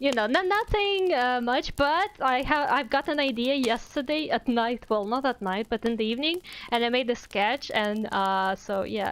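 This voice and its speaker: With a Russian accent, a woman speaks at a moderate pace and high pitch, using lively intonation, very even loudness and hardly any pauses. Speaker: VTuber streamer and artist. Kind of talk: casual live stream chat. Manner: casual, halting with fillers.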